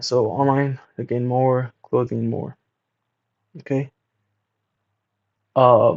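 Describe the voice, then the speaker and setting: A man with a medium-pitched voice speaks very slowly. He leaves long, frequent pauses. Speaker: market commentary podcast host. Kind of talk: solo market commentary, reading and reacting to a report. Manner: halting, many fillers.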